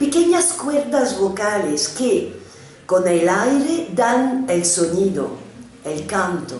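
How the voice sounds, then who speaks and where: A woman talking at a very slow pace with very wide pitch swings, audible room echo and noticeable background noise. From France. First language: French (speaking Spanish). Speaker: psychoanalyst. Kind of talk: lecture. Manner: halting non-native Spanish.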